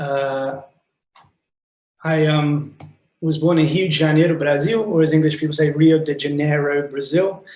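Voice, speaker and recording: A fairly high-pitched man with a British accent, flat monotone delivery and fairly slow pace, with audible room echo. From Wales. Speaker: animation director. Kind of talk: online talk presentation. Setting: video call from office.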